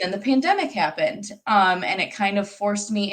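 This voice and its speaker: A woman with a Michigan accent, medium pitch, ordinary pitch variation and a fairly quick pace. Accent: US Midwest (Michigan). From Michigan, Royal Oak (Metro Detroit). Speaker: marketing professional. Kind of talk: live interview. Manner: hesitant fillers.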